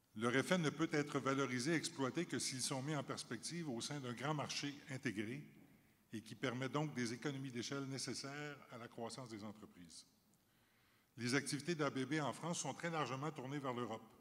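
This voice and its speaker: With a Canadian French accent, a man speaks at a medium pitch with ordinary pitch variation. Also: moderate pace. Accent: Canadian French accent, noted back in Canada. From Canada. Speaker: company chief executive. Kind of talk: panel discussion. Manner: formal.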